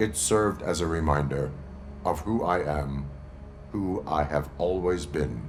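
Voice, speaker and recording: Against loud background noise, a man talks in a put-on character voice. He speaks at a fairly slow pace. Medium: video game. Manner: terse, flat.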